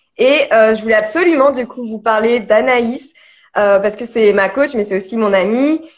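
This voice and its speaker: This woman's voice is fairly high, with ordinary pitch variation. She talks at a moderate pace. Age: 30s. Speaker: digital marketing consultant hosting a live. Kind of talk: casual live-stream interview. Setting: social media live video. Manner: hesitant, many fillers.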